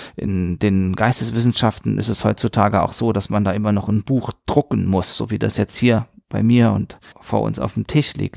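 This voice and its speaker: At a moderate pace with ordinary pitch variation, the voice comes through a very clean recording with a silent background, dry and close with no echo. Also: man, fairly low pitch for a man. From Palatinate, southwest Germany (West Palatinate near Saarland). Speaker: art museum director and art historian. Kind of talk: interview.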